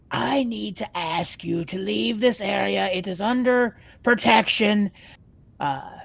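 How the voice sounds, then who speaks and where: In a put-on character voice, the speaker delivers raspy lines at a fairly high pitch and a fairly slow pace. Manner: formal, warning.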